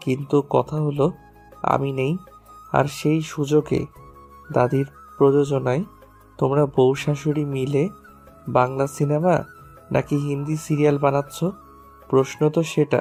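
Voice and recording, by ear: A woman's put-on character voice, low-pitched with a dark, mellow tone and a slightly husky edge, at a fairly slow pace with long, frequent pauses and little pitch movement, over faint music in the background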